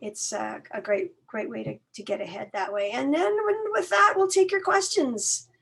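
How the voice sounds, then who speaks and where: Very wide pitch swings run through the high voice of a woman as she speaks. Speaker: college outreach staff. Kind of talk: online information workshop.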